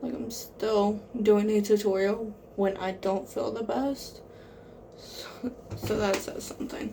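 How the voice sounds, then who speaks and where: At a very slow pace, a soft-spoken woman speaks with a fairly high pitch. Her intonation is fairly even, with noticeable background noise. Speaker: makeup vlogger. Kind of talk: makeup tutorial.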